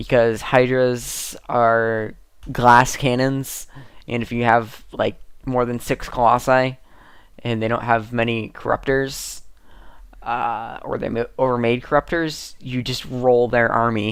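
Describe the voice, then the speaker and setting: The speech unfolds at a very slow pace. It comes from a very clean recording against a silent background. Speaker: gaming vlogger. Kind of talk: casual vlog monologue.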